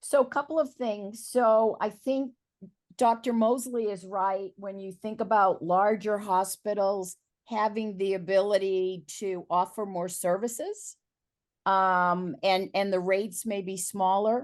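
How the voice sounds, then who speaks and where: A normal speaking voice at a fairly slow pace, against a quiet background. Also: woman, medium pitch for a woman, ordinary pitch variation. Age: 60s. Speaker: panelist. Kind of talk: virtual panel discussion. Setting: video call.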